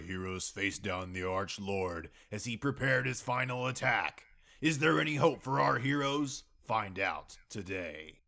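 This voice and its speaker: At a moderate pace, a man performs a put-on character voice pitched fairly low. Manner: dramatic, announcer-like.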